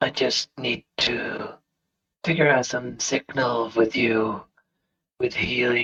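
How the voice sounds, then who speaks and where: A man uses a put-on character voice, raspy and medium in pitch. He delivers it at a fairly slow pace. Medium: actual play.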